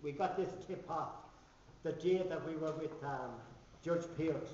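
Speaking at a fairly slow pace, a man uses ordinary pitch variation. Light background noise and audible room echo can be heard. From Ireland. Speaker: activist and author; speaker. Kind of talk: book launch speech. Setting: hotel function room with audience. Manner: halting. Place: hall. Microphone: camera far.

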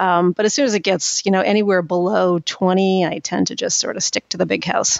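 This woman has a normal speaking voice at a medium pitch, with very even loudness. Her intonation stays fairly even and her pace is fairly quick. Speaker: author and content marketing executive. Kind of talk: casual interview chat.

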